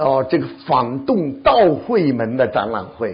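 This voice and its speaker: A man speaks with very wide swings in pitch. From China. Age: 70s. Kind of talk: testimony. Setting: church.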